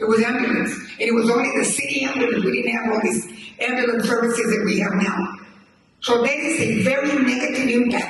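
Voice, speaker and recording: With noticeable background noise and audible room echo, a man with an American accent speaks at a fairly quick pace and an extremely high pitch. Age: 80s+. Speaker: community member. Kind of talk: town hall testimony.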